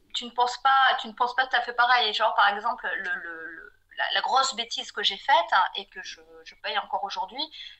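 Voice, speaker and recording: A woman with a high pitch and a bright, sharp tone speaks at a fairly quick pace, with lively intonation and big swings in loudness. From southwestern France (Pau). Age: 40s. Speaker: freelance graphic designer. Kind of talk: podcast interview. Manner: hesitant, many fillers and repetitions.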